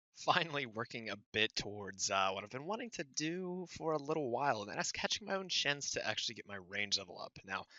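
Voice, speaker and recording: Quiet and fairly quick, a man talks with hardly any pauses, his fairly high pitch making very wide swings. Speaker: gaming youtuber. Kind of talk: gameplay commentary. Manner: casual, many fillers.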